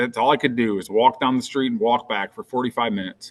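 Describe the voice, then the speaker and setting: The man's voice sits at a medium pitch. It rises and falls by an ordinary amount. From US Midwest, northwest Ohio. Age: 40s. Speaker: fitness transformation storyteller. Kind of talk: podcast interview. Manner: animated.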